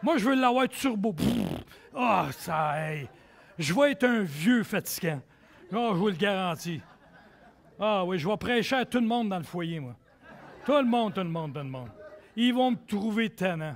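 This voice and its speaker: A man's high voice in a Quebec accent, fairly slow, with long, frequent pauses and very wide pitch swings. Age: 60s. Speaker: pastor. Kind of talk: sermon. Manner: animated.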